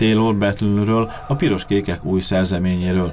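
Fairly low male voice at a moderate pace, ordinary pitch variation, and noticeable background noise. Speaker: local TV sports reporter. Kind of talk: news reading.

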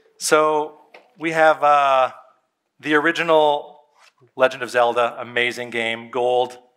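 This man's intonation stays fairly level, and the background is quiet. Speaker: pastor. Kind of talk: sermon. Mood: warm, nostalgic, playful. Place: church. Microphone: headset.

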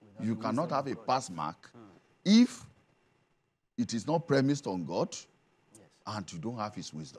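A man's moderately paced speech with vocal fry, long and frequent pauses, very wide pitch swings and big swings in loudness. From Nigeria, Ogun State (Yoruba). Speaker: traditional king and pastor. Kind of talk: TV studio discussion. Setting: TV studio. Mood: calm, preachy, assured. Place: studio. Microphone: lapel.

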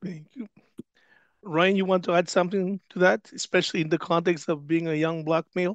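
In a dry sound with no echo and a quiet background, a man with a high voice speaks at a fairly quick pace with fairly even intonation. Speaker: church staff and panel facilitator; panel facilitator. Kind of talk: panel moderation. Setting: online webinar, video call. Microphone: video call.

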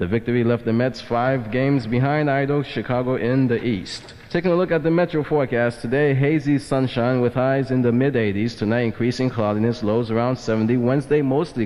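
A man speaks at a fairly quick pace with very even loudness and ordinary pitch variation. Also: hardly any pauses. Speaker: radio news reader. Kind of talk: radio newscast, weather and news read. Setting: 1980s American FM radio. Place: studio. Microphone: old recording.

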